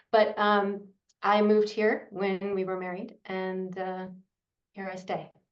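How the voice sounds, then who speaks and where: A woman with an American accent speaks at a fairly slow pace in a medium pitch and a flat monotone. Her loudness swings widely, and audible room echo surrounds her. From USA. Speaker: yoga and meditation teacher. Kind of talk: interview. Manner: halting, many fillers.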